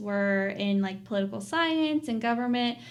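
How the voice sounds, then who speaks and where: Someone with an Appalachian accent talks at a moderate pace. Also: woman. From Southwest Virginia, Appalachia. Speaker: PhD student. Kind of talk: podcast interview answer. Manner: casual, conversational.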